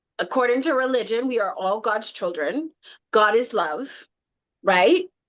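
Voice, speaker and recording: Speaking fairly slowly with long, frequent pauses, a woman uses an animated tone, a fairly high pitch and very wide pitch swings. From Canada, Scarborough, Toronto. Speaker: tarot deck creator. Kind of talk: casual interview chat.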